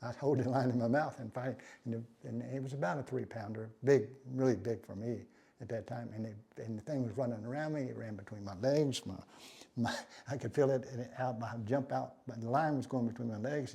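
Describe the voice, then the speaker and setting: Somewhat breathy and dark, mellow in tone, a man with an American accent talks at a fairly quick pace, medium pitch and fairly even intonation. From Texas, LaPorte. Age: 70s. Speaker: professional bass angler. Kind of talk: casual reminiscing monologue. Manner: halting, many restarts and fillers; laid back.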